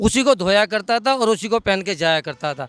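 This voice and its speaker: The voice belongs to a man with a high pitch and ordinary pitch variation. The sound is dry and close, with no echo. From Delhi, India. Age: 60s. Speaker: member of the public. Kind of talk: street interview.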